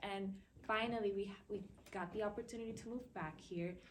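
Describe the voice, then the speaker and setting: A woman with an American accent speaks at a moderate pace and medium pitch, her intonation fairly even, with audible room echo. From Dominican Republic and US. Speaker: university student, panelist. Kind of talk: personal testimony on a panel.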